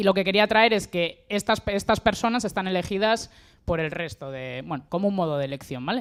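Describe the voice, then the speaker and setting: With a normal speaking voice at medium pitch, a woman talks at a fairly quick pace with lively intonation on a very clean recording with a silent background. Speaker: member of an agroecological collective. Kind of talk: panel talk.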